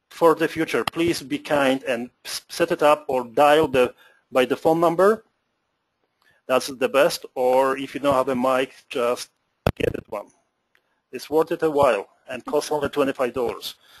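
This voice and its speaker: Speaking fairly slowly with long, frequent pauses, a man with a fairly high pitch and ordinary pitch variation sounds dry and close, with no echo. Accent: Polish. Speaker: moderator reading audience questions.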